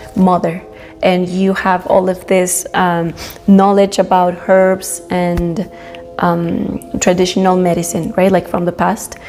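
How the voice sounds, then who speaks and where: Over noticeable background noise, a woman speaks very slowly in a Spanish accent with monotone, flat intonation. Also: medium pitch for a woman. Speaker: spiritual youtuber. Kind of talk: casual monologue. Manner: halting, many fillers.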